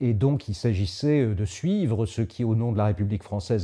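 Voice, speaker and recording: A man's dark, mellow tone, fairly low in pitch and somewhat breathy. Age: 70s. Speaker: Jesuit priest and former diplomatic adviser. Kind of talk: interview monologue. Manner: hesitant, frequent filler sounds.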